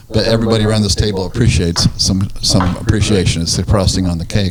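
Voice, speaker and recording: Over noticeable background noise, a man talks at a very fast pace. His fairly low pitch holds fairly even intonation. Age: 60s. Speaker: real estate radio show host. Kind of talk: casual radio talk show interview.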